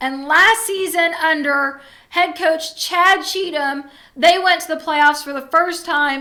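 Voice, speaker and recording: In a Southern US accent, a woman uses a raised, projected voice with an extremely high pitch and a bright, sharp tone, speaking at a very slow pace with fairly even intonation. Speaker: sports show host. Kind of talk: sports recap show.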